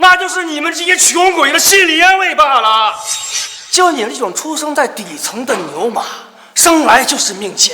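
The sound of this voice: A man puts on a character voice with an extremely high, bright, sharp pitch. His intonation is lively and his pace moderate.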